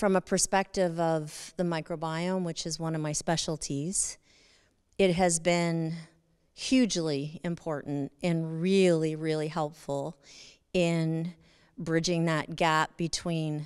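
With a quiet background, a woman speaks very slowly at a fairly low pitch and with fairly even intonation. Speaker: expo lecturer. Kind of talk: lecture. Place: stage. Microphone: handheld.

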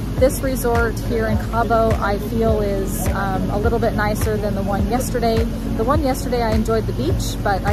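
Clear music sits in the background while a woman talks at a moderate pace, dry with no echo. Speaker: travel vlogger. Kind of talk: casual vlog chat. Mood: calm, encouraging. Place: waterside. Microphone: phone near.

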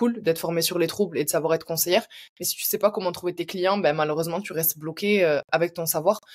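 A woman speaks at a very fast pace. Behind her, the background is quiet. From France. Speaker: learning designer and training entrepreneur; podcast guest, educator. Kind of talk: interview. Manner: hesitant, many fillers.

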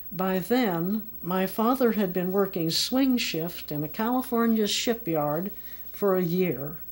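A woman with an American accent, at a very slow pace, medium pitch and lively intonation. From United States. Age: 80s+. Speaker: memoir narrator. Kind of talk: personal memoir narration. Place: home room.

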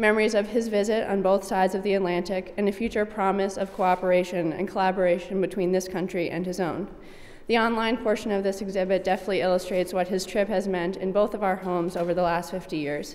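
A woman speaks at a very fast pace in an American accent. Her intonation is monotone and flat. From US. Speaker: speaker at event. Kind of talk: formal speech. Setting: stage with audience. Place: hall. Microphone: podium.

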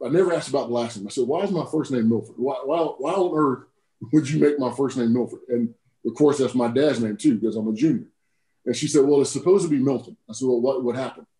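Speech comes at a very fast pace in an American accent, dark and mellow in tone, with ordinary pitch variation. The room echo is audible. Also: man, medium pitch for a man. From US South, South Carolina (Woodruff); South Carolina. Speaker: army general; guest. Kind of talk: casual interview. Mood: warm, reflective, motivational. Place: office. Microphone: video call.

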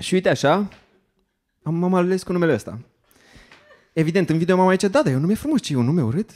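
High-pitched male voice in a quiet background. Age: 30s. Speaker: stand-up comedian. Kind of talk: stand-up comedy monologue. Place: stage. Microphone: handheld.

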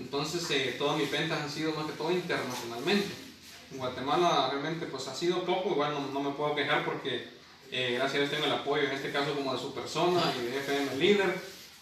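A man with a fairly high pitch speaks at a fairly quick pace with fairly even intonation. Light background noise and audible room echo are present. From Guatemala. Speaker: poet. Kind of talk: interview answer. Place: home room. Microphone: camera far.

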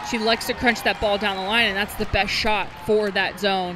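Delivered at a moderate pace, the speech has crowd noise in the background. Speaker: volleyball color commentator. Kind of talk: live sports commentary. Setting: arena broadcast.

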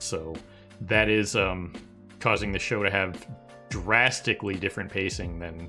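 Faint music sits in the background. Over it, a man talks with a very deep, low pitch. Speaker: anime discussion host. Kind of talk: casual discussion commentary. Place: home room. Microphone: headset.

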